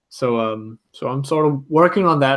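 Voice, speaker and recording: This is a man talking. His intonation is lively. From Denmark. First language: Danish. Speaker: Lego builder and former stop motion animator. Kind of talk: casual interview chat. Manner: halting with many fillers.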